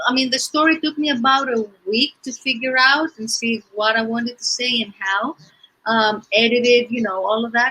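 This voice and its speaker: A high-pitched woman with a Greek accent, bright, sharp tone, fairly even intonation and moderate pace. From Greece. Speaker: children's author and theater teacher. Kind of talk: interview. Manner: hesitant, many fillers.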